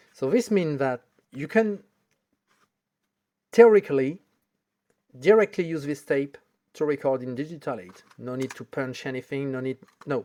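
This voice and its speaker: Long, frequent pauses in a French accent. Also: moderate pace. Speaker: video tech hobbyist YouTuber. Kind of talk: tutorial. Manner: halting, with hesitations.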